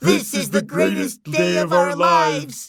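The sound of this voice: Over faint music in the background, a man does a loud, put-on character voice in a high pitch with vocal fry, big pitch swings and a slow pace. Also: fairly bright tone, very clean recording, silent background.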